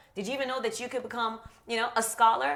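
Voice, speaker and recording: A woman speaks at a very fast pace with a fairly high pitch. Her tone is animated. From born in Germany, grew up in Stamford, Connecticut, US, as immigrant. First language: Russian and German. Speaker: youth speaker and children's author. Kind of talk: podcast interview.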